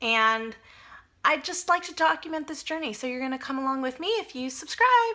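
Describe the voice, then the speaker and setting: With a raised, projected voice and a bright, sharp tone, a high-pitched woman talks at a fairly quick pace, her pitch swinging very widely and her loudness shifting a lot. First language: Spanish. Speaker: personal finance vlogger. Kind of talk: casual vlog monologue. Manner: conversational, with fillers and self-corrections.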